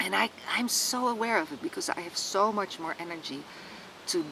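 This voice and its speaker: A woman speaks at a moderate pace with very wide pitch swings over noticeable background noise. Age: 60s. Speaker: retreat organizer and healer. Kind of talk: personal testimony to camera. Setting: outdoors in a wood, sitting by a tree. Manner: halting, frequent word repetitions.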